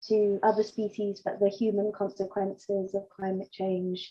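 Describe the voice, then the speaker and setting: At a fairly slow pace, a woman speaks in a dark, mellow tone at a medium pitch with monotone, flat intonation. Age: 30s. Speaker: workshop participant, mental health worker. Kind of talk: question in online discussion. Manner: halting, many fillers.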